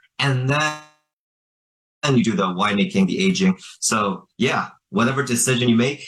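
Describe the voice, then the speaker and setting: Lively intonation marks this man's medium-pitched voice. He speaks in a Northeastern US accent at a moderate pace. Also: very even loudness. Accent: American, US Northeast. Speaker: businessman. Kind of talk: interview.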